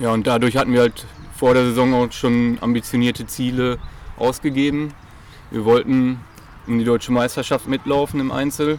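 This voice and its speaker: With long, frequent pauses, a man speaks at a moderate pace in a medium-pitched, monotone, flat delivery. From Germany, Münsterland (Dülmen area). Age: 30s. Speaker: athletics coach. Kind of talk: interview. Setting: at a sports club.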